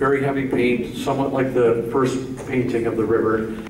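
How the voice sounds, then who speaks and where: A man speaks with an American accent at a fairly slow pace. His intonation stays fairly even over noticeable background noise. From US Midwest. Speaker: painter. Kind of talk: informal gallery talk. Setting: museum gallery with live audience. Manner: loud, projecting to a group. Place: hall.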